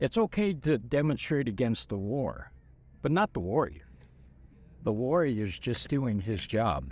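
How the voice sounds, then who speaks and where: With vocal fry and very wide pitch swings, a man speaks at a fairly slow pace in a very clean recording with a silent background. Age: 70s. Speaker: war veteran. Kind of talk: interview. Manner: halting.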